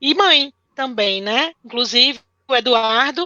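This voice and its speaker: The speaker has a Ceará accent. Pitch varies in an ordinary way. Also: woman. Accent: Ceará accent (northeastern Brazil). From northeastern Brazil (born in Pernambuco). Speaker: teacher. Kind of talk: live-stream interview.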